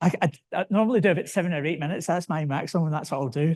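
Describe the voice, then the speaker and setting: Over a quiet background, a man with a high pitch talks at a very fast pace with ordinary pitch variation. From Scotland, Glasgow. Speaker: safety speaker and stand-up comedian. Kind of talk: conference talk. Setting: stage with audience. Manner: animated.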